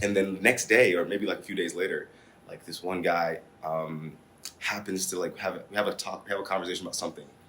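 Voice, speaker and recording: Very deep and low in pitch, a man with an American accent talks at a very fast pace in a bright, sharp tone, his intonation fairly even. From Singapore and US (ages 9-18). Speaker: basketball player. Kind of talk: casual chat.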